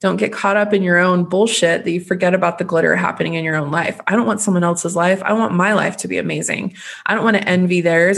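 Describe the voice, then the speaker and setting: Very fast speech from a woman at medium pitch over noticeable background noise. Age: 30s. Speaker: podcast host. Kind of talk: casual solo podcast monologue. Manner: animated.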